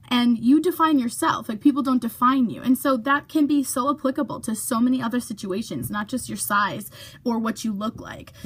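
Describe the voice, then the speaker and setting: A high-pitched woman's voice with ordinary pitch variation, at a moderate pace, against noticeable background noise. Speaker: vlogger. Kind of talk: casual vlog monologue. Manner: chatty, many fillers.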